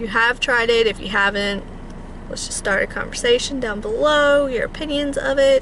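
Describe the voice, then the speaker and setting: Over noticeable background noise, a woman talks at a high pitch and moderate pace, with ordinary pitch variation. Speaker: beauty vlogger. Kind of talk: casual vlog monologue. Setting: in a car.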